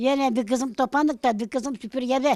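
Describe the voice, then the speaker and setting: In a very clean, silent recording that sounds dry and close with no echo, a woman with a Balkan accent speaks in a high pitch with a dark, mellow tone and fairly even intonation. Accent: Balkan Yörük Turkish dialect. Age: 80s+. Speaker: elderly villager. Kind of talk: casual interview.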